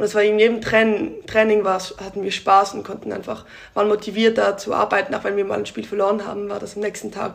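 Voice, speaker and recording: A woman at a very fast pace, medium pitch and monotone, flat intonation, with noticeable background noise. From Switzerland (Basel area). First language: Swiss German (speaking German). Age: 20s. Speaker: volleyball player. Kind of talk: interview. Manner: hesitant.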